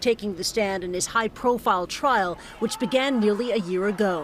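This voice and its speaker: Over noticeable background noise, a woman talks at a moderate pace. Her pitch is fairly high and her intonation lively. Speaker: TV news correspondent. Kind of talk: TV news field report. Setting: outdoors.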